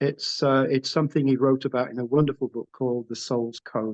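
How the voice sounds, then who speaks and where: With a northern English accent, a man speaks in a dark, mellow tone with a dry, close sound and no echo. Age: 70s. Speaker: artist. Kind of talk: interview.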